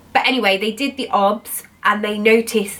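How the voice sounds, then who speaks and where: A woman with a British accent and a fairly high pitch talks with fairly even intonation over noticeable background noise. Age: 20s. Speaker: cancer survivor. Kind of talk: casual talk to camera.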